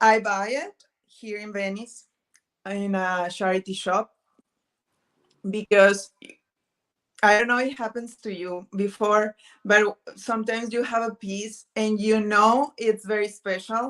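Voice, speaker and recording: A woman speaks in a Spanish accent at a fairly high pitch. Her loudness swings widely, and she takes long, frequent pauses. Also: fairly even intonation. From northern Mexico, Pacific area. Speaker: vintage thrifting video creator. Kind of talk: casual chat. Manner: halting, searching for words.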